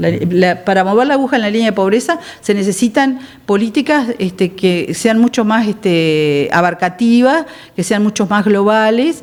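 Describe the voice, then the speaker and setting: A woman with an Uruguayan accent, fairly high pitch, lively intonation and a moderate pace. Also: very even loudness. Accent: Uruguayan Spanish (rioplatense). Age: 60s. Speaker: politician. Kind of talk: TV interview.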